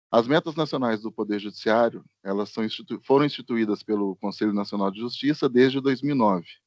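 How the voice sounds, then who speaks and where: A man with a normal speaking voice talks at a fairly quick pace with hardly any pauses, at medium pitch with ordinary variation. The sound is dry and close, with no echo. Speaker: court statistician. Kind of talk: online workshop presentation.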